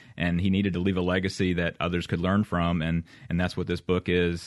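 Here a man talks in a very deep, low pitch at a fairly quick pace. His intonation is fairly even, and the background is quiet. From Mississippi. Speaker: author. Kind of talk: radio interview.

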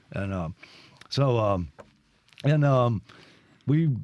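A man speaks with a Mississippi accent. His pace is fairly slow. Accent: Southern US (Mississippi). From Mississippi (Brandon, Jackson area). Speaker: guitarist and guitar teacher. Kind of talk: radio interview.

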